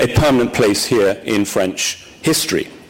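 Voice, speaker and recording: Over noticeable background noise, a man with an English accent speaks with lively intonation. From England. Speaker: newspaper executive. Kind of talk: formal speech. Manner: formal; hesitant with ums.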